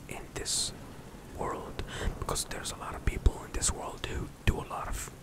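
Whispering throughout, a man is heard. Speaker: content creator. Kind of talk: casual personal talk on belief. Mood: calm, reflective, earnest. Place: home room. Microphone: studio mic.

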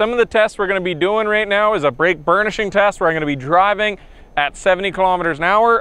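Dry, with no echo, a man's voice races at a very fast pace with ordinary pitch variation. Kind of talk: explanation to camera.

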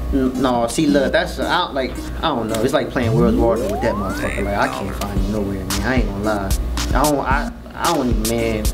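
Clear music sounds in the background while a man talks fairly quickly. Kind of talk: scripted comedic interview answer. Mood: defensive, irritated, joking. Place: studio.

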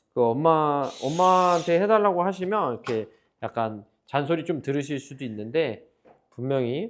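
Loud and fairly slow, a man speaks in a fairly high pitch with very wide pitch swings. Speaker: PC builder and shop owner. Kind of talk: tutorial.

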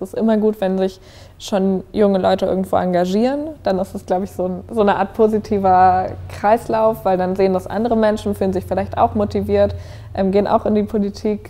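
Faint music plays in the background as a woman speaks at a fairly quick pace. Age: 20s. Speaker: politician. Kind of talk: interview. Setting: office. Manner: casual, with filler words. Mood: friendly, smiling, engaged. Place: home room. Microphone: lapel.

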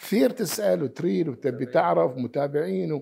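Over a quiet background, a man speaks fairly slowly in a fairly high pitch with a dark, mellow tone and very wide pitch swings. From Bahrain, Muharraq (raised partly in Khobar, Saudi Arabia); Bahrain. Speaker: doctor; interviewee. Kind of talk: interview. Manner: halting, many fillers. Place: home room.

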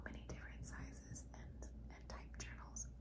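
Loud background noise fills this clip. Over it, a woman talks at a moderate pace. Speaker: journaling hobbyist. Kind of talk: casual vlog talk to camera. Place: home room. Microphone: phone near.

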